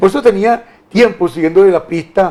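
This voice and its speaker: High pitch and ordinary pitch variation in a man's voice. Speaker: TV talk show host. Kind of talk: political interview. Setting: TV studio, live. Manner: fast.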